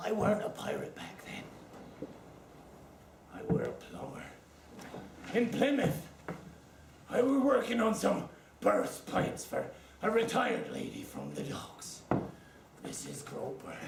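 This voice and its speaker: A man puts on a character voice in a West Country accent, pitched high for a man, at a moderate pace. Long, frequent pauses break it up, with slight echo and clear background noise. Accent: West Country pirate. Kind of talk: comic overacting. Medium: stage play. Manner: rambling, boastful, cackling.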